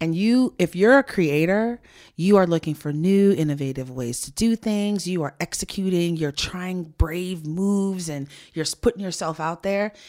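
Very clean recording with a silent background of a woman's animated, fairly low voice, ordinary pitch variation and a moderate pace. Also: big swings in loudness. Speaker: founder of women's career advice platform. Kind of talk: interview conversation. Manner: extroverted, animated.

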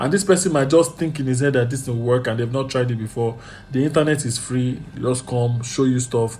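A man's medium-pitched voice at a fairly quick clip, with ordinary pitch variation and noticeable background noise. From Nigeria. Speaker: therapist. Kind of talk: casual chat.

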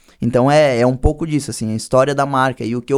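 On a very clean recording with a silent background, a man speaks in a normal speaking voice at medium pitch with ordinary pitch variation. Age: 20s. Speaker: clothing brand owner and church youth leader. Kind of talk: casual chat.

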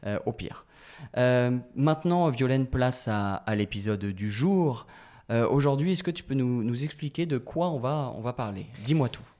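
The recording is very clean, with a silent background. A man with a normal speaking voice and a medium pitch talks at a fairly slow pace with lively intonation. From western France (La Rochelle). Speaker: podcast host. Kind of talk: casual chat.

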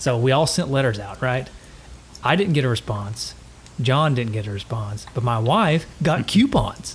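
A man with a Southern US accent and lively intonation, over noticeable background noise. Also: medium pitch for a man, moderate pace. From East Tennessee. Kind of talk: casual chat.

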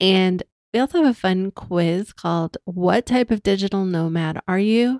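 A woman speaks in an unremarkable speaking voice at medium pitch, with ordinary pitch variation and a moderate pace. Her loudness stays very even, and the sound is dry and close with no echo. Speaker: podcast host, digital nomad. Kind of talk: casual conversation.

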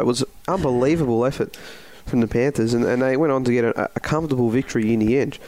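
Very fast speech from a man at a medium pitch with an Australian accent. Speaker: podcast host and football caller. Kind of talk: sports podcast discussion.

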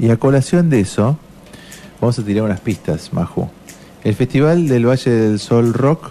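A man with lively intonation and very even loudness, long, frequent pauses, and noticeable background noise. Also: medium pitch for a man, moderate pace. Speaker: radio host. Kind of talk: casual chat.

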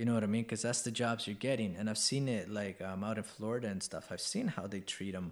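A plain, everyday voice talks at a fairly quick pace with ordinary pitch variation. The recording is very clean, with a silent background. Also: man. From Canada, East Vancouver. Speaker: podcast host. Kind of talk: casual chat. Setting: on location outside the studio.

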